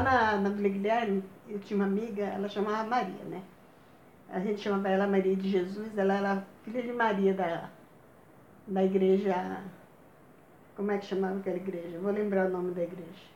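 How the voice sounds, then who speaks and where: A woman speaks in a monotone, flat way at a moderate pace. Long, frequent pauses and audible room echo mark the clip. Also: medium pitch for a woman. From Bahia, Brazil. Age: old. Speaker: grandmother telling life stories. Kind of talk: casual chat.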